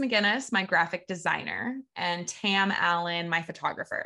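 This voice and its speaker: In a Midwestern American accent, a woman with a bright, sharp tone speaks with ordinary pitch variation against a quiet background. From US Midwest (Evansville, Indiana). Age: 20s. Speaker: podcast host, astrologer and dance teacher. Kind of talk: casual solo monologue. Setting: video recording with screen share.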